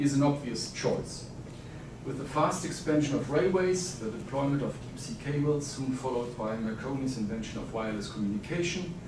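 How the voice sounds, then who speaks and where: A man with a German accent talks at a fairly quick pace in a fairly high pitch with lively intonation, with audible room echo and noticeable background noise. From Germany. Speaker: historian, academic. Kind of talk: conference presentation. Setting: conference panel.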